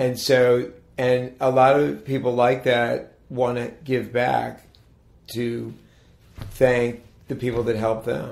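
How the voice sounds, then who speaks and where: In an American accent, a man speaks at medium pitch with ordinary pitch variation and a very slow pace. Long, frequent pauses break up his speech, and room echo is audible. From Maryland, Montgomery County. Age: 60s. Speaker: town mayor. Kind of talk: interview. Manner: halting, many restarts.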